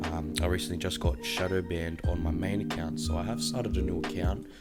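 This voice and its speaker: Over background music, a man with a very deep, low voice talks very fast with ordinary pitch variation. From Australia. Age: 20s. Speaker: fitness content creator and coach. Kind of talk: casual talk to camera, podcast monologue. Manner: conversational, enthusiastic, fillers.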